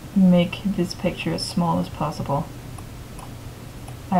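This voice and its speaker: A woman whispering, with noticeable background noise and audible room echo. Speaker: tutorial maker. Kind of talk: tutorial.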